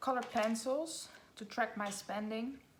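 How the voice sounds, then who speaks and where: A woman with a Dutch accent, fairly high pitch and fairly slow pace, with audible room echo. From Netherlands. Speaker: budgeting vlogger. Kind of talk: casual tutorial vlog.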